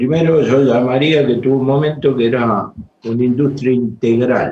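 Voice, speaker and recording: A man talks at a moderate pace in an unremarkable speaking voice of medium pitch. His intonation is fairly even and his loudness very even. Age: 60s. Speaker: trade union leader. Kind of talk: panel talk.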